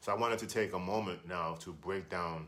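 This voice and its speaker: A man's very deep, low voice, flat and monotone, at a moderate pace amid audible room echo. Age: 60s. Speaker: health and fitness video creator. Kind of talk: exercise tutorial. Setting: small hotel room. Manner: casual, with fillers.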